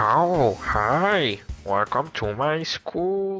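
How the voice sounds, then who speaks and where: This put-on character voice sits at a middle pitch and sounds nasal, with clear music in the background. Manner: cheery, welcoming.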